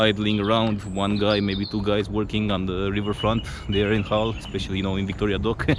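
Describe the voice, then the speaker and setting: A man speaks at a moderate pace in a Romanian accent with a fairly low pitch and monotone, flat intonation. Noticeable background noise is present. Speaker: travel vlogger. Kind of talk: casual vlog narration. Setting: outdoors. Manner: halting, with fillers and restarts.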